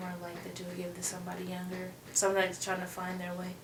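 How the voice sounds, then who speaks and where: Female speech with audible room echo and noticeable background noise. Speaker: YouTube interview host. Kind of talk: casual interview chat.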